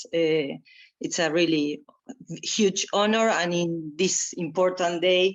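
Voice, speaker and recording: At a very slow pace, a woman with a Spanish accent speaks in a fairly low pitch with fairly even intonation. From Argentina. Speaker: environmental activist and performer. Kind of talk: panel talk. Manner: slow, halting.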